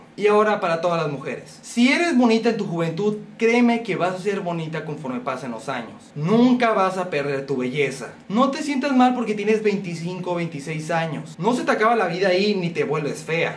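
With hardly any pauses, a man in a high voice speaks at a moderate pace in an animated tone, his pitch swinging very widely over light background noise. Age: young. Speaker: YouTuber. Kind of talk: vlog monologue. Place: home room. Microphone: phone near.

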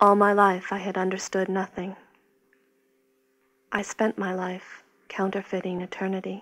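Putting on a raspy character voice, a woman speaks at a moderate pace and medium pitch in a calm tone, her intonation monotone and flat, with long, frequent pauses. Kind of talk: reflective literary voice-over. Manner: calm, resigned, detached.

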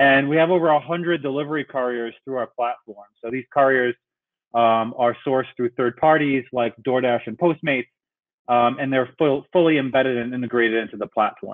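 A man's voice with fairly even intonation over a quiet background. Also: moderate pace. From New York City. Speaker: tech company CEO. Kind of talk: webinar presentation. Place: home room. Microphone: video call.

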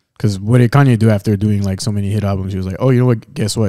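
Over a quiet background, a man speaks at a very fast pace in a fairly low voice with a dark, mellow tone and ordinary pitch variation. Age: 20s. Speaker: podcast co-host. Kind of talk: casual chat. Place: studio. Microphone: studio mic.

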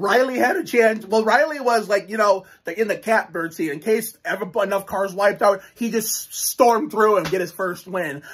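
An animated man with a high pitch talks at a moderate pace with ordinary pitch variation and hardly any pauses. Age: 20s. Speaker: YouTuber reviewing NASCAR races. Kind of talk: solo video commentary. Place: home room. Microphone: phone near.

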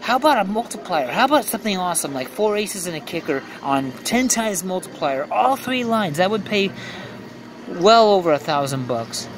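A man speaks fairly quickly, with noticeable background noise behind him. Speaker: gambling vlogger. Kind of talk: casual play-by-play commentary. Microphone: phone near.

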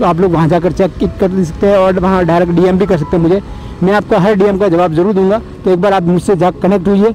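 Faint music plays behind a man with a high pitch who speaks at a fairly quick pace in a monotone, flat intonation and very even loudness, the sound dry with no echo. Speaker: moto vlogger. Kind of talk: casual vlog chat. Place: motorbike. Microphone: helmet.

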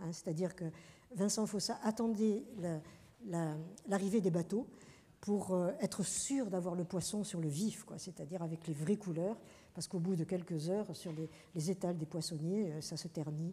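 A woman's fairly low, dark, mellow, somewhat breathy voice at a fairly slow pace, with ordinary pitch variation and long, frequent pauses. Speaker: professor and journal editor, lecturer; professor, lecturer. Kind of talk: lecture. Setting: lecture hall with audience. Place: hall.

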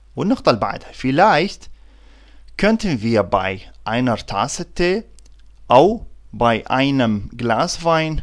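In an Iraqi accent, the speaker goes at a fairly slow pace on a very clean recording with a silent background. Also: man. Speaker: German language teacher. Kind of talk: tutorial.

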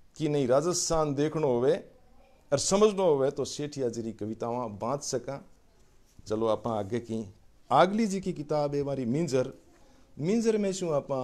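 The man's pitch is fairly high and his intonation lively. He leaves long, frequent pauses. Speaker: professor and literary editor. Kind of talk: online literary lecture.

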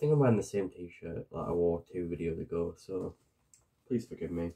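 A soft-spoken man with a very deep, low pitch and a dark, mellow tone, at a fairly quick pace over a quiet background. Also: ordinary pitch variation. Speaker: ASMR creator. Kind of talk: ASMR roleplay; ASMR roleplay chat. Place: home room. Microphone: webcam.

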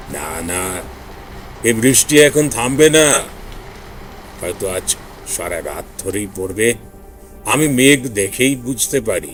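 A man puts on a character voice at medium pitch, shaky and fairly slow, with lively intonation. His loudness swings a lot, and clear music plays in the background. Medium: read story. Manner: halting, cryptic, foreboding.

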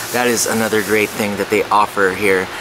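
Noticeable background noise behind a man speaking at a fairly low pitch. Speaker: travel vlogger. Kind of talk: casual vlog chat. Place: cafe. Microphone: phone near.

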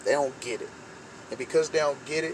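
Noticeable background noise runs under this recording. A man speaks with ordinary pitch variation. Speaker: vlogger. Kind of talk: motivational talk. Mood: earnest, encouraging. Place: car. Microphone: phone near.

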